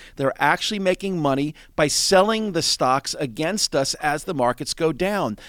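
A man's fairly high, normal speaking voice with lively intonation, dry and close with no echo, on a very clean recording with a silent background. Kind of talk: sales-pitch style promotional talk for trading classes. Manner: confident, persuasive, fluent, a bit rushed.

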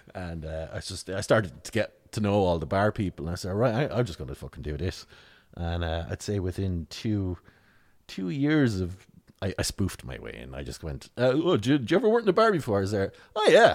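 On a very clean recording with a silent background, a man with a rural Tipperary accent speaks at a fairly quick pace in a very deep, low voice, with very wide pitch swings and big swings in loudness. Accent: rural Tipperary Irish. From Ireland, rural County Tipperary. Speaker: satirical writer and comedian. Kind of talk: casual interview chat. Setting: in-person at the guest's office.

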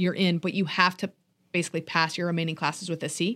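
Heard in a very clean recording with a silent background, an unremarkable speaking voice moves at a fairly quick pace with ordinary pitch variation. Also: woman. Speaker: podcast co-host and high school teacher. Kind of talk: casual chat.

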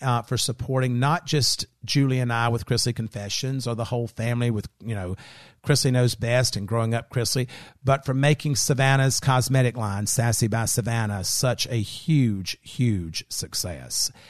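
A man with an American accent and a plain, everyday voice, medium pitch, ordinary pitch variation and a moderate pace. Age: 50s. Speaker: podcast host. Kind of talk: casual chat. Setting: studio.

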